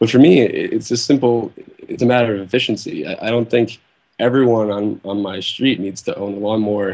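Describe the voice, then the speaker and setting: In an ordinary speaking voice, the speaker moves at a fairly quick pace with fairly even intonation. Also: man, medium pitch for a man. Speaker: web developer and activist calling in. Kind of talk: call-in discussion.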